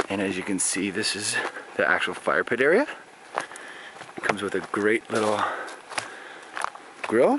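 A man speaks at a fairly low pitch. Noticeable background noise runs behind him. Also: dry sound with no echo. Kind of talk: casual vlog tour narration. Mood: cheerful, joking. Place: open country. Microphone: phone near.

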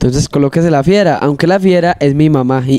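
A man talks at a fairly quick pace with ordinary pitch variation, the sound dry with no echo. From Marinilla, Antioquia, Colombia. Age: 20s. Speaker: trova singer and freestyle rapper. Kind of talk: casual interview; improvised rhymed verse. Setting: studio. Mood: relaxed, friendly. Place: studio. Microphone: handheld.

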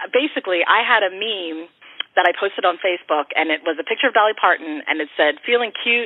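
With an American accent and an unremarkable speaking voice, a woman of medium pitch talks at a fairly quick pace using lively intonation. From Philadelphia, Kensington. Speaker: singer-songwriter. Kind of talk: interview.

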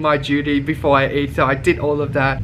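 The speaker talks at a moderate pace with music in the background. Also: man. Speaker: travel vlogger. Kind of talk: casual vlog chat. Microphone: phone near.

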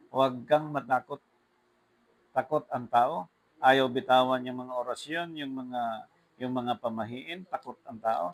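Using an unremarkable speaking voice, a man of medium pitch talks at a fairly slow pace with ordinary pitch variation and big swings in loudness. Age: 50s. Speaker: preacher. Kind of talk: sermon.

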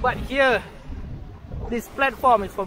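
A man is speaking over light background noise. The sound is dry with no echo. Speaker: travel vlogger. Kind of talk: casual vlog chat. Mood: cheerful, playful. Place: boat. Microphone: phone near.

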